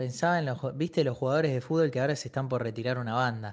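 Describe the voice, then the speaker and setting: A man in a normal speaking voice, with medium pitch and ordinary pitch variation, is captured in a very clean recording with a silent background. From Argentina, Buenos Aires. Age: 20s. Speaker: streamer. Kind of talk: casual chat.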